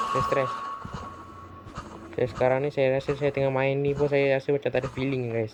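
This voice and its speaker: The voice is quiet, with long, frequent pauses and noticeable background noise. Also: moderate pace. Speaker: gaming youtuber. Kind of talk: gameplay commentary. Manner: quiet, subdued.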